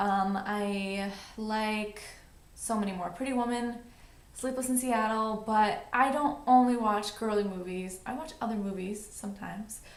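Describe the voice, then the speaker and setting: A woman with a New York accent, fairly high pitch and fairly even intonation at a fairly slow pace, with audible room echo and noticeable background noise. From New York City. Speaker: beauty vlogger. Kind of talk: casual vlog monologue.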